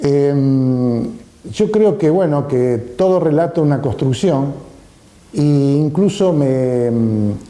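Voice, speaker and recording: In a room with audible echo, a man with a fairly high voice speaks at a very slow pace and very even loudness. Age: 70s. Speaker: artist and photographer. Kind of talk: interview testimony. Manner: halting, many fillers.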